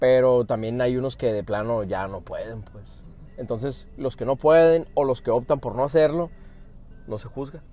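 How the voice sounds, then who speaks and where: Music plays in the background as a man speaks at a moderate pace. His pitch is medium, and his loudness swings widely. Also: ordinary pitch variation. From US, Phoenix, Arizona. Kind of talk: casual chat. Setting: in a car.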